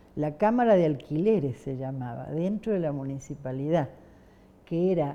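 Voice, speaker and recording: Very wide pitch swings from a woman, her tone dark and mellow. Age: 70s. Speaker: human rights activist. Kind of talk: oral history interview. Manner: hesitant, many fillers.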